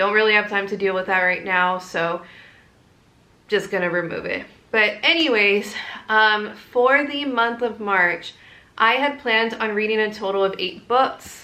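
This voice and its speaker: Through audible room echo, a woman with a bright, sharp tone speaks at a fairly slow pace. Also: fairly high pitch for a woman, ordinary pitch variation. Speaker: book vlogger. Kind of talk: casual vlog.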